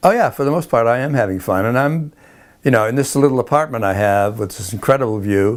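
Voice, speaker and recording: Speaking very fast with an American accent, a man keeps a medium pitch and ordinary pitch variation. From New England (Boston). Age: 80s+. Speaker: interviewee, elderly filmmaker. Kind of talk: interview. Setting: at home, filmed. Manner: halting.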